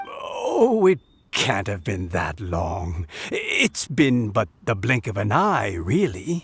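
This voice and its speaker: A man speaks at a very slow pace in a put-on character voice. His pitch is medium. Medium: video game. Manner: gentle, warm.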